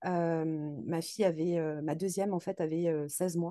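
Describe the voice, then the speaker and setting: A woman's fairly low, dark, mellow voice at a very slow pace, with fairly even intonation over a quiet background. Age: 30s. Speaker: nurse. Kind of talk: interview testimony. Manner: halting.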